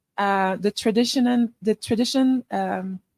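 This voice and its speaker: With a Quebec accent, the voice keeps fairly even intonation in a dry, close sound with no echo. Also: woman. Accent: Quebecois. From Quebec, Canada. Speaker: filmmaker. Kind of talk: workshop Q&A. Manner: halting.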